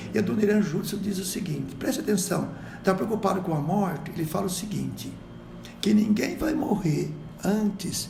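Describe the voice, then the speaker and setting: Against noticeable background noise and audible room echo, a man speaks in a high pitch. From Brazil. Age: 60s. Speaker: missionary. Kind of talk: podcast interview. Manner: exhortative, preacher-like.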